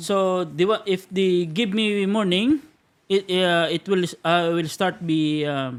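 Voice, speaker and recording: Talking at a very slow pace, a man uses a Filipino accent. His pitch is high, with ordinary variation. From Philippines, Iloilo. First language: Hiligaynon (Ilonggo). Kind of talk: casual podcast conversation. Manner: hesitant, many fillers.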